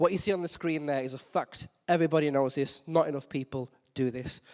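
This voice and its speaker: A man talks with ordinary pitch variation in a very clean recording with a silent background. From West Midlands, England (Wolverhampton). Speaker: digital marketer and conference speaker. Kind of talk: conference talk. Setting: stage with audience. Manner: energetic, high-energy.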